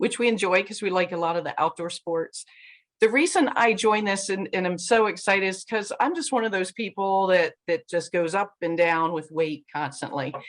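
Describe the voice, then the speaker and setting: At a medium pitch, a woman talks at a moderate pace with ordinary pitch variation. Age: 60s. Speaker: program participant. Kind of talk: self-introduction.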